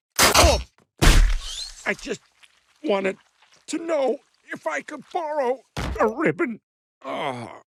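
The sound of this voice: A cartoonish character voice, high in pitch, moves at a fairly slow pace. Long pauses come often.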